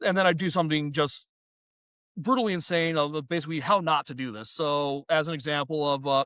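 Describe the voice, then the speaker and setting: A bright, sharp tone comes through over a quiet background. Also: man, fairly high pitch for a man, ordinary pitch variation, fairly quick pace. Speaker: professor and stand-up comedian. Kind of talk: casual chat. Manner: fast; halting, many fillers and repetitions.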